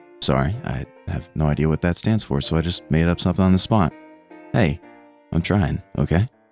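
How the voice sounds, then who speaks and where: A man's upbeat tone at a fairly quick pace, with music in the background. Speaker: VTuber. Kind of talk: gaming news commentary. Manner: upbeat, joking.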